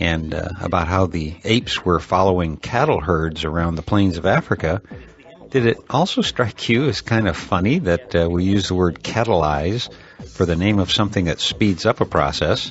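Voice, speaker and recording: Music plays in the background as a man with a very deep, low pitch speaks at a moderate pace with ordinary pitch variation. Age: 60s. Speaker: podcast host. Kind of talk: podcast outro commentary. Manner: many filler uhs, casual.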